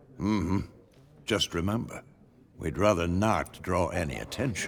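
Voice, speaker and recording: Putting on a character voice, a man talks at a moderate pace with a very deep, low pitch. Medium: video game. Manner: gruff, terse.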